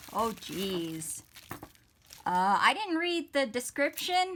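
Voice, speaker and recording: Her tone is animated, and her pitch swings very widely. Noticeable background noise sits behind the woman's voice. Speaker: stationery haul vlogger. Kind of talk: casual unboxing haul video. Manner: louder than normal.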